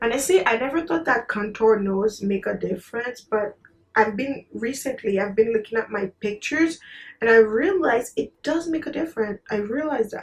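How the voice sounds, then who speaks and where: Somewhat breathy, a woman speaks at a moderate pace with a fairly high pitch and lively intonation. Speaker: beauty vlogger. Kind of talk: makeup tutorial chat. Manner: soft-spoken, low energy.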